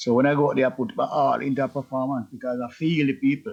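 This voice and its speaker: Speaking very fast, a man with a Jamaican accent keeps a medium pitch and ordinary pitch variation. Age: 70s. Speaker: reggae artist. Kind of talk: interview.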